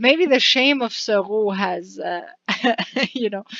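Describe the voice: The clip consists of plain reading aloud.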